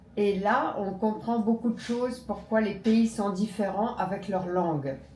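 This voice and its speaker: Noticeable background noise sits behind a woman's voice. She talks at a fairly slow pace in a medium pitch with ordinary pitch variation. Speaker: native French speaker, conversation partner. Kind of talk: casual conversation.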